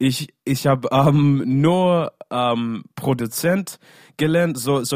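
A man's voice with lively intonation. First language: English (speaking German). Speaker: singer. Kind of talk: casual interview. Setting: video call. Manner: halting.

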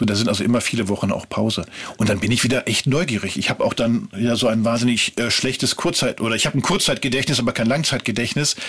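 A man talks very fast at a medium pitch, with ordinary pitch variation and very even loudness. Background noise is noticeable. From Ruhr area, western Germany. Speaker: TV documentary writer. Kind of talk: interview. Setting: studio.

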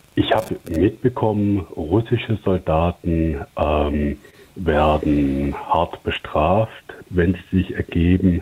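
A man with a very deep, low pitch speaks at a very slow pace, with very even loudness and ordinary pitch variation, over noticeable background noise. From Stuttgart, southwest Germany. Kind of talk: voicemail question. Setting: phone voicemail.

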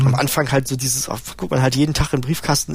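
A man at a very fast pace, with vocal fry. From East Germany, Halle-Neustadt. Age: 40s. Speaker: system administrator. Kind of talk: interview testimony.

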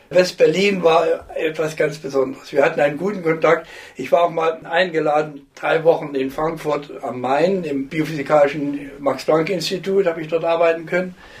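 A fairly high-pitched man at a moderate pace, fairly even in intonation, with noticeable background noise. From Thuringia, Germany (Jena). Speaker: retired professor of biophysics. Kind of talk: interview.

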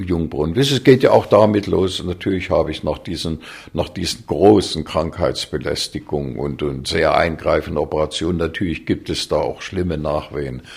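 With vocal fry and a very deep, low pitch, a man talks at a moderate pace. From Thuringia, Germany (Weimar). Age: 80s+. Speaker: conductor and musicologist. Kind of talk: interview. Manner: hesitant, many fillers.

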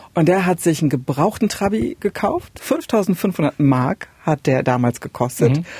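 A woman with a fairly low pitch and a dark, mellow, somewhat breathy tone speaks at a fairly slow pace with hardly any pauses and very wide pitch swings, in a dry, close sound with no echo. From East Germany, Saxony-Anhalt border area. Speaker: radio podcast host. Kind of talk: casual chat.

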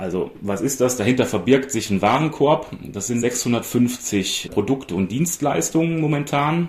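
A man speaks with lively intonation at a fairly slow pace against noticeable background noise. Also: medium pitch for a man. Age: 40s. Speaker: data journalist. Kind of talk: interview.

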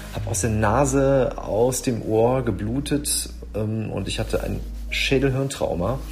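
A man speaks with audible room echo as music plays in the background. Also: fairly slow pace. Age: 30s. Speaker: cyclist, accident survivor. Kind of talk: personal testimony.

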